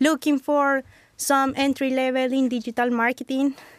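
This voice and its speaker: A woman with a Colombian accent speaks in a high pitch, with a dry, close sound and no echo. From Bogota, Colombia. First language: Spanish. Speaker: engineer, Colombian immigrant. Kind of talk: casual interview chat.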